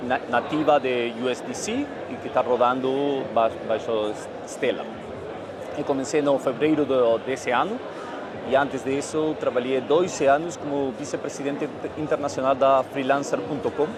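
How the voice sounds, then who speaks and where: Against noticeable background noise and audible room echo, a man with a Spanish accent speaks at a fairly high pitch with fairly even intonation. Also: moderate pace. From Argentina. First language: Spanish (speaking Portuguese). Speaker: fintech CEO, former lawyer. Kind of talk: panel discussion. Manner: halting, some stuttering.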